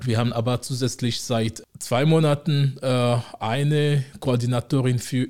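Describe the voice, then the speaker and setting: The speaker is a man with a medium pitch. His is an ordinary speaking voice. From Togo, West Africa. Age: 40s. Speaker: city integration officer. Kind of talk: interview.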